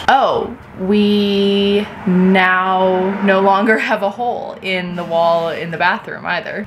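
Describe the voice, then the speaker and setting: A woman speaks over noticeable background noise. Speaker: renovation vlogger. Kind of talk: casual vlog chat. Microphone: phone near.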